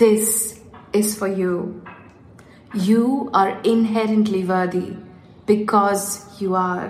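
A woman talks at a very slow pace in a monotone, flat intonation, with long, frequent pauses, audible room echo and noticeable background noise. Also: medium pitch for a woman. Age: 30s. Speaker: life coach podcast host. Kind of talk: reading aloud; casual monologue. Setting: home office.

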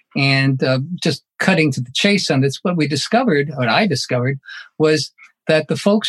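Somewhat breathy male voice, fairly high in pitch, at a moderate pace, in a dry, close sound with no echo. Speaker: professor. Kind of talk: panel discussion. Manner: formal.

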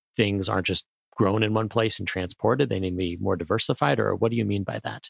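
An American-accented man with vocal fry, fairly even intonation and a fairly quick pace, on a very clean recording with a silent background and a dry, close sound with no echo. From grew up in Asia, American diplomat family. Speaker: podcast host, corporate market researcher. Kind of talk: interview; scripted outro.

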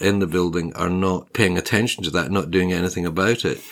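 A man with a Scottish accent in a very clean recording with a silent background. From Scotland. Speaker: podcast host and property journalist. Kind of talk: casual conversational podcast chat.

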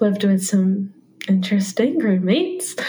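At a moderate pace, a woman of medium pitch speaks in a normal speaking voice. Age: 20s. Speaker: homemaker. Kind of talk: interview. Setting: remote video call.

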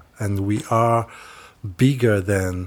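In a Rwandan accent, a man speaks at a fairly slow pace with a fairly low pitch and a somewhat breathy sound on a very clean recording with a silent background. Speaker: youth village leader.

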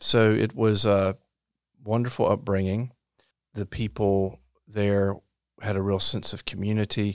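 Flat and monotone, a man talks at a fairly low pitch with a North Carolina accent. The recording is very clean with a silent background and a dry, close sound with no echo. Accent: Southern US (North Carolina). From US South, rural Robeson County, North Carolina. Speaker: state supreme court justice. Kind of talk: interview. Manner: halting, frequent repetitions and fillers.

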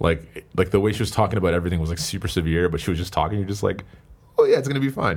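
A man's very deep, low voice, somewhat breathy, at a very fast pace with ordinary pitch variation. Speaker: podcast host. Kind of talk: casual chat.

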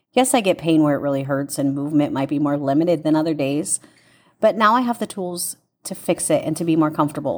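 With an unremarkable speaking voice, a woman talks at a moderate pace with lively intonation. The recording is very clean, with a silent background. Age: 30s. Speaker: fitness instructor. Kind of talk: personal testimony.

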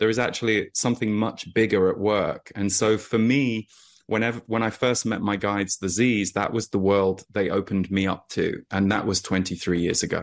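Over a quiet background, a man with a plain, everyday voice speaks at a moderate pace and a fairly low pitch. His intonation is fairly even and his loudness very even. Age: 40s. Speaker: energy intuitive and author. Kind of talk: interview.

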